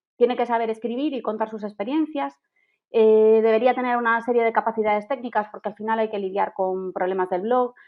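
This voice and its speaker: A woman speaks with a Galician accent and ordinary pitch variation. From Galicia, Spain. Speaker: travel blogger. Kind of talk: podcast interview.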